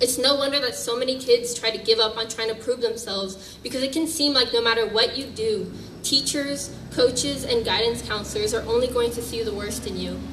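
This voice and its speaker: With an American accent, a woman speaks in a fairly high pitch and fairly even intonation at a fairly quick pace with hardly any pauses, amid noticeable background noise and audible room echo. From US Northeast. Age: 20s. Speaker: activist speaker. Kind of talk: public speech.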